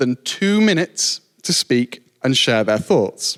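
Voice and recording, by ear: This man's voice sits at a fairly high pitch and moves with lively intonation.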